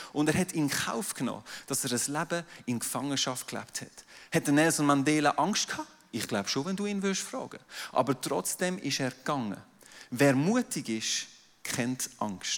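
Speaking at a moderate pace, a man with an ordinary speaking voice uses lively intonation at a fairly high pitch. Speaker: pastor. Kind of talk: sermon.

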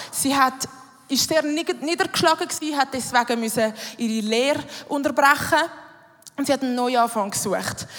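Someone with a Swiss accent talks at a moderate pace with ordinary pitch variation over noticeable background noise. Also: woman. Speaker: church youth worker. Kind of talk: sermon. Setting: stage with audience.

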